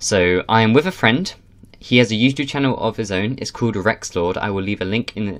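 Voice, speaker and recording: A man's normal speaking voice at a fairly quick pace, fairly low in pitch with ordinary pitch variation. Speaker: gaming YouTuber. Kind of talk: casual gameplay commentary. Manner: excitable.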